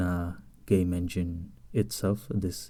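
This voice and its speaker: A man with a Spanish accent speaks in a dark, mellow tone. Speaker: indie game developer. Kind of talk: tutorial. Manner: halting.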